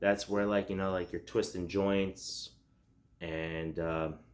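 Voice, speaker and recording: A quiet man's voice, fairly low in pitch, with ordinary pitch variation, on a very clean recording with a silent background. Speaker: self-defense and tactics YouTuber. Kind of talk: casual tutorial to camera. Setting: at home at night. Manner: loose with many fillers.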